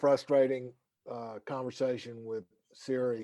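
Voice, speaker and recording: Speaking in a North Carolina accent, a man uses a medium pitch and a dark, mellow tone at a fairly slow pace. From North Carolina, Winston-Salem. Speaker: lawyer wellness program founder. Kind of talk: casual chat. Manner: doesn't move lips much.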